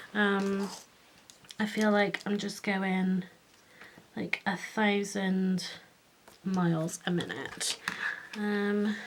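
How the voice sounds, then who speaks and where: A woman speaks with a British accent at a medium pitch. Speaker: craft youtuber. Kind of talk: tutorial. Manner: hesitant, many fillers.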